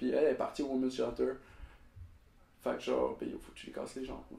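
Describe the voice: A man speaks at a medium pitch with a dark, mellow tone and vocal fry, at a fairly quick pace. Audible room echo surrounds the voice.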